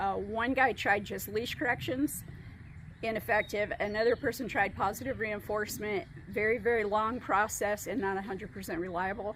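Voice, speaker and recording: At a moderate pace, a woman speaks with a fairly high pitch, ordinary pitch variation and vocal fry. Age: 60s. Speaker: dog trainer. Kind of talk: interview testimonial.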